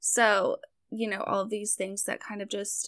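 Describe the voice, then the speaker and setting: Recorded very cleanly with a silent background, the sound is dry and close with no echo. A woman speaks at a moderate pace in a medium pitch, with vocal fry. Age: 20s. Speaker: tarot hobbyist and web designer. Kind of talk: casual chat.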